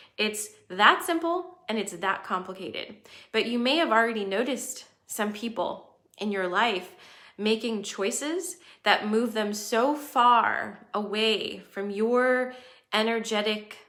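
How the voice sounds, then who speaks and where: A woman's fairly high, bright, sharp voice at a fairly slow pace, with ordinary pitch variation and audible room echo. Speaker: astrology livestream host. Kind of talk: livestream talk to viewers. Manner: casual.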